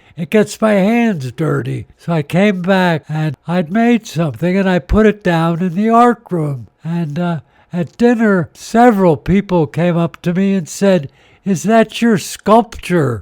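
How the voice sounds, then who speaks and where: This man's voice sits high, with lively intonation at a fairly slow pace. The sound is dry and close, with no echo. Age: 80s+. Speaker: sculptor and former priest. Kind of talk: interview storytelling.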